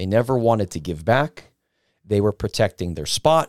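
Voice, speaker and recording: In a very clean recording with a silent background, a man speaks at a moderate pace in a normal speaking voice of medium pitch. The sound is dry and close, with no echo. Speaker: independent wrestler. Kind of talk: casual chat.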